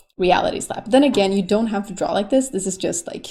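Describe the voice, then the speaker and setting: This woman speaks with a Swedish accent. Her pitch sits at a medium level. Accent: Swedish, non-native English. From Sweden. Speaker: YouTube artist. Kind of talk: tutorial. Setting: home recording while drawing. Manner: casual, rambling with fillers.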